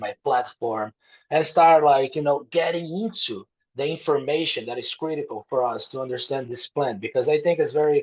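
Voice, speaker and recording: Speaking at a moderate pace, a man with a Brazilian Portuguese accent shows ordinary pitch variation. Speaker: author. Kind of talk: podcast interview.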